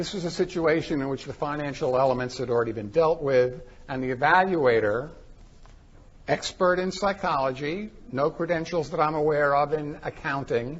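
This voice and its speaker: A man speaks at a fairly high pitch. His voice is somewhat breathy, with lively intonation. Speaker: forensic psychologist presenter. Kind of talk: conference presentation. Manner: fast.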